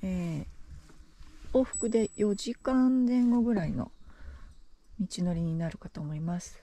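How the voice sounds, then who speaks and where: In a dry sound with no echo, a woman with a somewhat breathy, dark, mellow tone speaks at a fairly slow pace, with lively intonation, big swings in loudness, and long, frequent pauses. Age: 50s. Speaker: hiker; hiker vlogger. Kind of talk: casual vlog narration while hiking. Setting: outdoors. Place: forest. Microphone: phone near.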